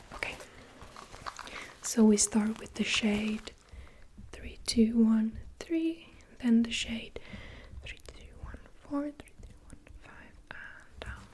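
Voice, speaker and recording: Amid noticeable background noise, a woman with a gentle tone speaks at a very slow pace, with long, frequent pauses and big swings in loudness. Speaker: ASMR creator doing a personal color analysis roleplay. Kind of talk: ASMR roleplay, personal color analysis session. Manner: soft-spoken, whispered, gentle.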